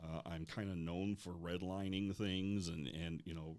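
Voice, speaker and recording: With fairly even intonation, a man talks in a very deep, low pitch. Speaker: company president and environmental engineer. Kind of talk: podcast interview. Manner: hesitant fillers, repeats words.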